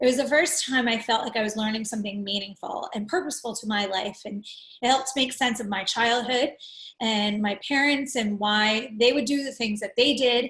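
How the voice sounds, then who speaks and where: Fairly quick speech from a woman with a fairly high pitch and ordinary pitch variation. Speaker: entrepreneur and author. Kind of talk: interview.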